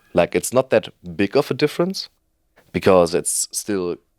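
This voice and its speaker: Speaking at a fairly slow pace, a man talks in a German accent. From Germany. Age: 20s. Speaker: trainee youth worker. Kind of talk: interview. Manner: halting, many fillers.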